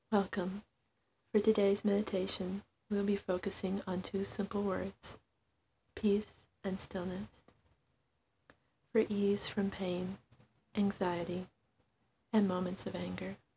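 A woman with a dark, mellow, somewhat breathy tone speaks at a fairly slow pace in a flat monotone, with long, frequent pauses. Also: medium pitch for a woman. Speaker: meditation guide. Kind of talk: guided meditation.

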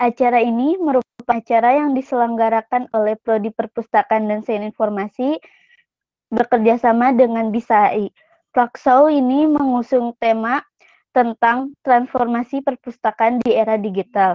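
In a dry recording with no echo, a woman speaks at a high pitch with fairly even intonation. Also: moderate pace, quiet background. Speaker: student event MC. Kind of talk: formal announcement. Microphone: video call.

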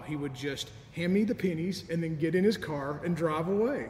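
A man speaks at a moderate pace with a high pitch and ordinary pitch variation. Light background noise and audible room echo can be heard. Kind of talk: sermon. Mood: warm, nostalgic, gently humorous. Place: church.

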